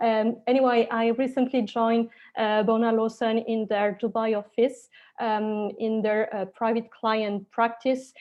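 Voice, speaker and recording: With a strong French accent, a woman of fairly high pitch speaks at a fairly slow pace in a monotone, flat intonation. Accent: very strong French accent in English. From Switzerland, French-speaking, Spanish roots. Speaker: lawyer. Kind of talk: webinar presentation. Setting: online webinar.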